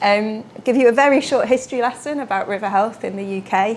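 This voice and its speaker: A woman speaks with a British accent at a fairly quick pace. Her voice is fairly high, with ordinary pitch variation. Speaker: water research engineer. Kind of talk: lecture. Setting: lecture room with audience. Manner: fast.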